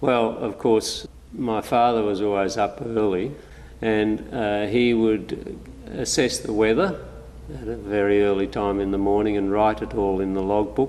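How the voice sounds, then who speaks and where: A man's fairly low voice in an Australian accent, fairly slow, with audible room echo and noticeable background noise. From Australia, New South Wales north coast. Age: 70s. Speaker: local resident recalling childhood. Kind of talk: oral history interview. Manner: hesitant with frequent fillers.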